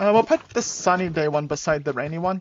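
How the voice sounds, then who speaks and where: This woman's voice sits at a fairly low pitch. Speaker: gaming streamer. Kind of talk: live gameplay commentary.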